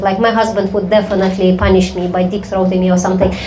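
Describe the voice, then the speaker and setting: Room echo and background noise are both noticeable as a woman speaks at a medium pitch. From Belarus. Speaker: comedy show host. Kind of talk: live comedy show banter. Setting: stage with audience.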